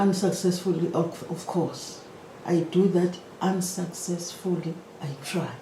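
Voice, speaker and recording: Speaking at a fairly slow pace with an African accent, a woman keeps a monotone, flat intonation amid noticeable background noise and audible room echo. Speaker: maritime economics lecturer. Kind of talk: lecture.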